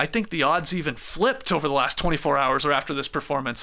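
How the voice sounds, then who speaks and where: A man projects a raised voice, bright and sharp in tone, with lively intonation. He moves at a fairly quick pace against a quiet background. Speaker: sports podcast host. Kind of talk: casual chat. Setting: studio. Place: studio. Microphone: studio mic.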